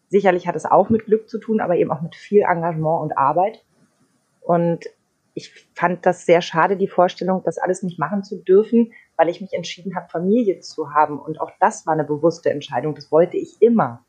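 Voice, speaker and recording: A woman's plain, everyday voice, fairly low in pitch, at a fairly quick pace with ordinary pitch variation and big swings in loudness. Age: 30s. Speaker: radio host. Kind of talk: casual chat.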